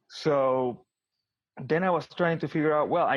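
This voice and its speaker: Vocal fry runs through this man's voice as his pitch swings very widely. He speaks at a moderate pace. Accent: Argentine. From Argentina, Buenos Aires. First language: Spanish. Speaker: tech executive. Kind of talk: interview. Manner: repetitive stammering starts.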